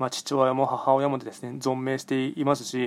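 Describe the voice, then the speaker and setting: A man's medium-pitched voice comes across with a dry, close sound and no echo. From Japan, Nagoya. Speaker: podcaster and fortune teller. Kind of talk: solo monologue. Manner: hesitant, many fillers.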